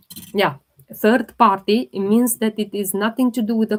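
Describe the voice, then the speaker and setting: A woman speaks with a non-native accent. Her pitch is medium, with ordinary variation. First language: not English. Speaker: holistic health livestreamer. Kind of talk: live Q&A stream.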